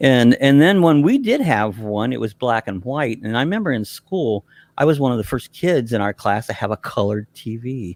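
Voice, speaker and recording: An American-accented man with an ordinary speaking voice talks at medium pitch and a moderate pace with lively intonation and hardly any pauses, on a very clean recording with a silent background and a dry, close sound with no echo. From central Ohio, US Midwest. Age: 60s. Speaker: RV YouTuber guest. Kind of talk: casual chat.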